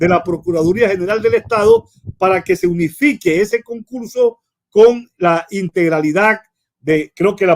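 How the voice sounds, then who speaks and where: Man's high-pitched voice at a fairly slow pace, dry and close with no echo. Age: 60s. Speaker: lawyer and law professor. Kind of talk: broadcast interview.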